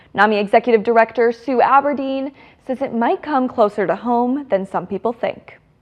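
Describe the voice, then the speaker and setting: A woman speaks with an American accent. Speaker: TV news reporter. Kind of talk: live TV news report.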